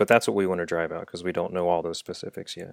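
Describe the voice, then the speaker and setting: The recording is very clean, with a silent background. A man speaks with a Midwestern American accent at a very deep, low pitch. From Dayton, Ohio. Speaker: engineer turned coffee entrepreneur. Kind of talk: casual interview.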